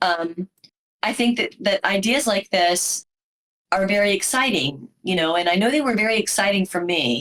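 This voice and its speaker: A woman speaks at a medium pitch. She has an ordinary speaking voice. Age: 50s. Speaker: book club host and podcaster. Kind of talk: casual discussion.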